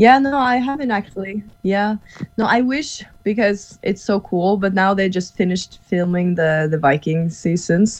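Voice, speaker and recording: A woman with a Norwegian accent, medium pitch, lively intonation and a moderate pace. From Norway. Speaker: actress and stuntwoman. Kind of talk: casual interview chat. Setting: video call from Norway.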